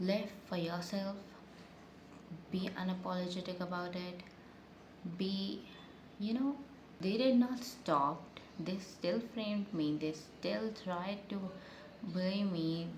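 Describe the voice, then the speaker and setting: With noticeable background noise and audible room echo, a woman at a medium pitch talks at a very slow pace with ordinary pitch variation and long, frequent pauses. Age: 20s. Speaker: beauty vlogger. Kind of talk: casual get-ready-with-me storytime. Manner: halting, stuttering.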